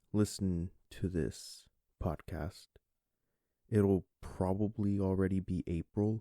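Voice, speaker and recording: Very deep and low in pitch, a man speaks at a very slow pace with a dark, mellow tone in a dry, close sound with no echo. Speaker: podcast host. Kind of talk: casual solo podcast monologue. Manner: casual, filler-heavy.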